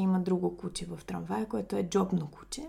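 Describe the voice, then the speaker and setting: Her voice is somewhat breathy with a dark, mellow tone as this woman speaks at a moderate pace. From Bulgaria, Sofia. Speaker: guest's wife. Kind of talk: interview.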